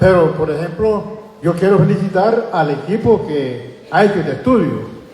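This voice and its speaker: A man speaks at a high pitch and a moderate pace with lively intonation. Noticeable background noise and audible room echo are present. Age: 70s. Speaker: community member. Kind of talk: public comment at community forum. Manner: halting.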